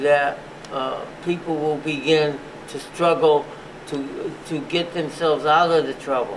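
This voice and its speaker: With noticeable background noise behind him, a man speaks at a fairly slow pace in fairly even intonation, leaving long, frequent pauses. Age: 80s+. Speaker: physician, museum founder. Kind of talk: interview answer.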